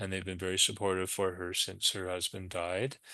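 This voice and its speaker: A man speaks in a bright, sharp tone against a quiet background. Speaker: hospice program director. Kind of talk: webinar presentation. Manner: fast.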